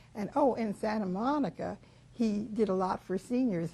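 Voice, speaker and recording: A woman with an American accent speaks at a fairly slow pace in a somewhat breathy voice. Her pitch sits at a medium level and varies in an ordinary way. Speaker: life-story interviewee. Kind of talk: oral history interview. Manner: halting, with many fillers.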